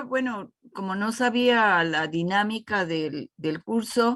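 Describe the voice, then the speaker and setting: A woman's bright, sharp tone with lively intonation at a very slow pace. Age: 70s. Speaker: church member student. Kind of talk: class discussion.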